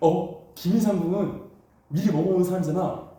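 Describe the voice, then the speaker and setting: In a space with audible room echo, a man speaks in an animated tone at a high pitch. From China. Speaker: instructor. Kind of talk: lecture.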